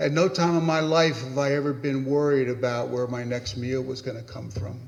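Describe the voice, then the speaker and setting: Somewhat breathy, a man speaks at a moderate pace in a medium pitch with fairly even intonation. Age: 70s. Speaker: pastor. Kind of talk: panel talk. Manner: halting.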